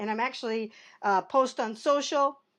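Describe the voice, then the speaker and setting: Her fairly high voice moves at a fairly quick pace with lively intonation, and this woman is recorded very cleanly against a silent background. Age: 60s. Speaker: marketing business owner and vlogger. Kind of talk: casual vlog talk. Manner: halting, many fillers and repeats.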